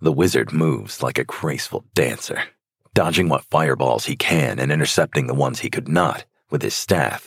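A man speaks with a very deep, low pitch, vocal fry and an animated tone at a moderate pace. The sound is dry and close, with no echo. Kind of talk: dramatic fantasy story narration, read aloud with character voices. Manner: animated, building tension in the action beats.

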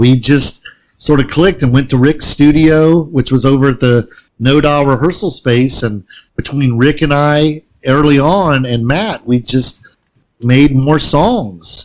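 With a plain, everyday voice, a man talks at a fairly slow pace. His pitch is fairly high and his loudness very even. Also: ordinary pitch variation. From US South. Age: 40s. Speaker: punk musician. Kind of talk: casual chat. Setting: remote call.

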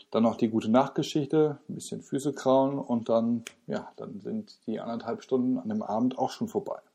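Against a quiet background, a man with a dark, mellow tone and medium pitch talks at a moderate pace with lively intonation. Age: 30s. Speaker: podcast host and parenting blogger. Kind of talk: solo podcast monologue. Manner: casual, with filler words.

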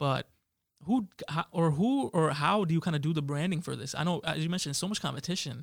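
A man talks in an ordinary speaking voice. His pitch is fairly high, with ordinary pitch variation. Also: fairly quick pace. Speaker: podcast host. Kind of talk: casual interview chat. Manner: casual, conversational.

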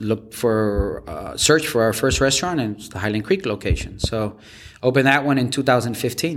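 At a moderate pace and a medium pitch, a man with an American accent speaks in a normal speaking voice. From Washington, D.C. area. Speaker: restaurant founder. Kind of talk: interview.

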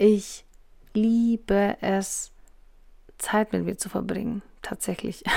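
The speaker is a woman at a medium pitch. Her recording is very clean, with a silent background. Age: 40s. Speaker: podcast host, essential oils seller. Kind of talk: casual monologue. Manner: hesitant fillers.

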